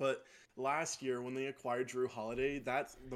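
A man talks at a moderate pace in a Utah accent. His medium-pitched voice stays monotone and flat. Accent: American, Utah. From Utah, South Jordan. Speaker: podcast co-host, basketball analyst. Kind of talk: casual sports chat.

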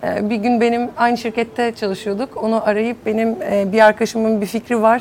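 A woman with a normal speaking voice talks at a fairly quick pace, with a fairly high pitch and fairly even intonation. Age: 30s. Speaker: entrepreneur. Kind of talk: panel discussion.

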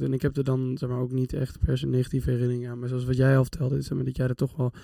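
A man speaks with a medium pitch and a dark, mellow tone. The sound is dry and close, with no echo. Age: 20s. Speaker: psychology student. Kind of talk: casual chat.

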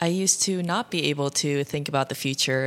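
Moderately paced speech from a woman with a very deep, low pitch. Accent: Midwestern US. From US Midwest, Ohio. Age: 20s. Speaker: podcast host. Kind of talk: casual solo monologue.

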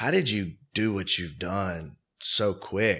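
Here is a man with a fairly low pitch. His tone is bright and sharp. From US South, Mobile, Alabama. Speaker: real estate investor. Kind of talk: interview.

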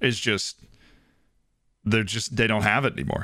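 This man talks at a moderate pace with an American accent. His tone is bright and sharp. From Florida. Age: 20s. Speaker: podcast co-host. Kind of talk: casual chat.

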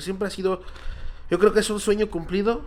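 A man's high-pitched voice at a fairly quick pace, with noticeable background noise. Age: 20s. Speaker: children's party clown. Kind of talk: casual interview chat.

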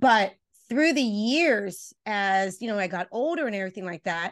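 Against a quiet background, a woman with a Spanish accent speaks in an animated tone with lively intonation. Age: 50s. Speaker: relationship coach. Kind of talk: interview.

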